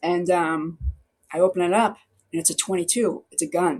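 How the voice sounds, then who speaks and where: A woman speaks with a strong Boston accent. Her pace is fairly slow. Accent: thick Boston accent, non-rhotic. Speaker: newspaper reporter. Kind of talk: interview answer. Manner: casual, chatty.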